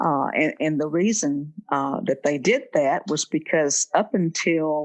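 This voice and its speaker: A woman with a Southern US accent, a fairly low pitch and lively intonation, at a very slow pace. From Mississippi Delta. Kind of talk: interview answer.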